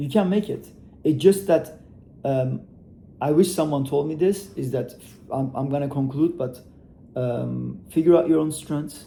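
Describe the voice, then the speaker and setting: Using a non-native accent, a man speaks at a fairly slow pace with long, frequent pauses, his fairly high, somewhat breathy voice dark and mellow in tone, with ordinary pitch variation. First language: not English. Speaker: e-commerce entrepreneur. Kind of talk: motivational talk to camera. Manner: casual, hesitant with fillers.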